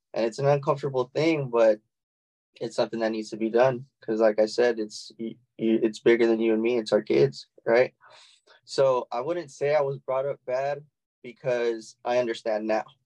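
This man talks in a medium pitch with a dark, mellow tone. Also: ordinary pitch variation, moderate pace. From Texas, San Antonio. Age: 30s. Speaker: small business owner and networking club founder. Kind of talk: casual interview chat.

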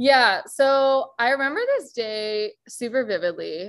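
A woman speaks with a West Coast American accent. The recording is very clean and the background silent. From California, Bay Area. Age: 20s. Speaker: coaching client, graduate student. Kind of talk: interview.

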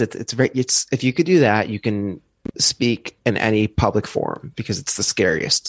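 Dry and close with no echo, a man's voice sits at a medium pitch. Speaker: comedian. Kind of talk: casual chat. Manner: fast, manic talker.

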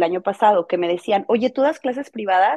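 A woman speaks with a Mexican accent. Her pitch variation is ordinary. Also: quiet background. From Mexico. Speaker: content creator and crafts teacher. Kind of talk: casual interview chat. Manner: fast.

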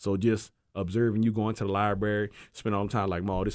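A man with a New Orleans accent, fairly low in pitch and very fast, against a quiet background. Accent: New Orleans accent, noticeable. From New Orleans, Louisiana. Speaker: former football player. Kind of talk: casual chat. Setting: studio.

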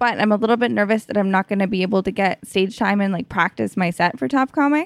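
A woman with a Canadian accent talks very fast with lively intonation. The recording is very clean, dry and close, with no echo and a silent background. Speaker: stand-up comedian. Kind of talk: casual chat. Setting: at her home.

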